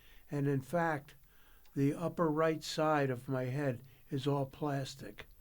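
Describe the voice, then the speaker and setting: Speaking very slowly with an American accent, a man uses a fairly high pitch and fairly even intonation. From US Northeast, New York Capital Region. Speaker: retiree with brain injury. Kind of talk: podcast interview.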